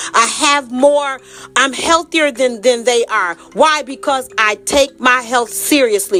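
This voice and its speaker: Over music in the background, a woman with a high pitch talks in an animated tone at a moderate pace with ordinary pitch variation. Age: 60s. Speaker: health and wellness advocate. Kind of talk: casual monologue.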